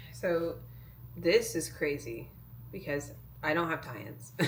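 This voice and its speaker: With audible room echo, a woman talks at a very slow pace. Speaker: fitness competitor vlogger. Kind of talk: casual vlog talk. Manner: casual, filler-heavy. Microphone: new camera mic.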